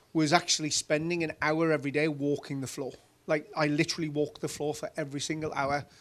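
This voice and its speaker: Speech comes very fast and monotone, with flat intonation, in a Geordie accent. The recording is very clean, with a silent background. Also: man. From northern England, Newcastle (Geordie). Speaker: former company CEO. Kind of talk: conference interview on stage. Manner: casual, anecdotal.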